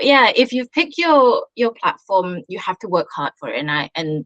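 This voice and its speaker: A woman talks at a moderate pace and a fairly high pitch. The sound is dry and close, with no echo. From Singapore. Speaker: children's author. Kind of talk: interview. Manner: halting.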